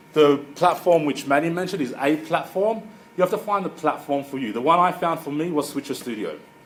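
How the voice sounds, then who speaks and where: Fairly high male voice at a fairly quick pace, ordinary pitch variation, noticeable background noise. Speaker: marketing consultant. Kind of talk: presentation. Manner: fast.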